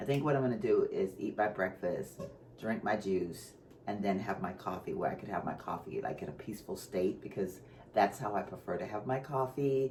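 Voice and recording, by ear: In a put-on character voice, a man talks raspily at a fairly quick pace and fairly low pitch over light background noise.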